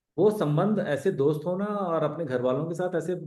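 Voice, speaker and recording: With lively intonation and a dark, mellow tone, a man speaks in a high voice amid audible room echo. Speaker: ex-army special forces member and mountaineer. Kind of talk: live online Q&A talk. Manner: casual, conversational.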